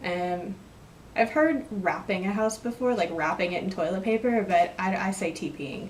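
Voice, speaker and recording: A woman's lively intonation at a moderate pace, with noticeable background noise. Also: medium pitch for a woman. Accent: American. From West Texas. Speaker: vlogger. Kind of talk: casual vlog, word list and questions. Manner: rambling and casual, with hesitations.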